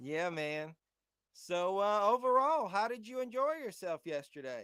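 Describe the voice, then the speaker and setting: A high-pitched man with a Southern accent, bright and sharp in tone, with very wide pitch swings at a fairly slow pace. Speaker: podcast host. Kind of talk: casual chat. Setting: live stream.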